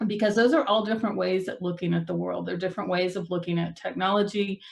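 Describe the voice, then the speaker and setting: With a slight Texan accent, a woman speaks using ordinary pitch variation. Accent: Texas accent, slight. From Texas. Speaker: tech speaker. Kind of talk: talk to a user group.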